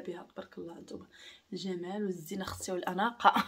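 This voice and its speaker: Very fast talk from a woman. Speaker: home vlogger. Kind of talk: casual vlog chat. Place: home room. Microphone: camera far.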